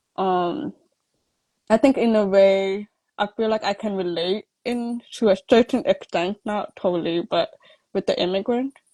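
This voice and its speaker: A woman's dark, mellow tone at a fairly slow pace, with ordinary pitch variation and a dry, close sound with no echo. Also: medium pitch for a woman. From Toronto, Canada. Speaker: interviewee with hearing loss. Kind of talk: interview. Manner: halting, many fillers and restarts.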